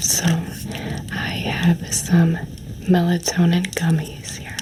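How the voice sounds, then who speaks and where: A whispered voice moves at a very slow pace while noticeable background noise continues. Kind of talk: ASMR roleplay. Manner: warm, cozy.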